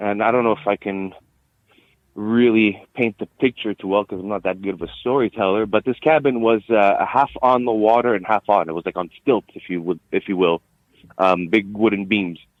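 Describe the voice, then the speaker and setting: In a Quebec accent, a man speaks at a moderate pace with a fairly low pitch and ordinary pitch variation. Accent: Quebec anglophone accent, noticeable. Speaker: interview guest sharing sighting. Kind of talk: interview storytelling. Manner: hesitant, many fillers.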